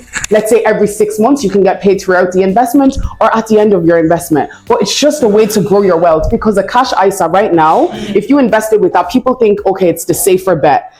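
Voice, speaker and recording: Over noticeable background noise, a woman talks very fast at medium pitch with hardly any pauses. Her loudness stays very even and her pitch varies in an ordinary way. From Ireland. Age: young. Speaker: property broker. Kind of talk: interview. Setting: property office.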